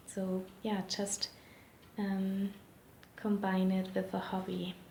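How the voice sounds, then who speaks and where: With a non-native accent, the speaker goes at a very slow pace against noticeable background noise. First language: not English. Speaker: interviewee sharing language tips. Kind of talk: interview answers. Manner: hesitant, many fillers.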